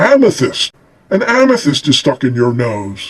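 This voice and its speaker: A put-on character voice from a man, moderate in pace and fairly high-pitched. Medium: read story. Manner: pompous, deliberate.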